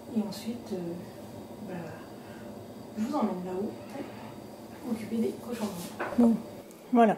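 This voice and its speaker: Over noticeable background noise, a woman with a medium pitch speaks at a fairly slow pace with fairly even intonation. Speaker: vlogger. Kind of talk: casual vlog narration. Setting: at home. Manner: hesitant.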